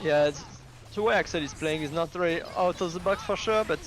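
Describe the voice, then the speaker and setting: Music can be heard behind the speech. A man speaks at a moderate pace, his pitch varying in an ordinary way. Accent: French. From France. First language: French. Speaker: esports commentator. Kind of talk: live commentary.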